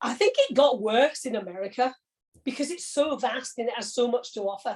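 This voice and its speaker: A woman speaks with a high pitch and ordinary pitch variation. Her pace is fairly quick. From Corby, English Midlands. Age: 60s. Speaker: retired logistics manager. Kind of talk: interview. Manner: conversational, some hesitation.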